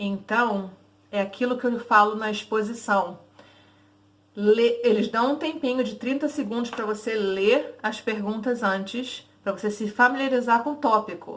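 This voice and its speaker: Her fairly high voice holds a fairly even intonation as the woman speaks. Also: fairly slow pace. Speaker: English teacher. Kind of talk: tutorial. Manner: casual, conversational.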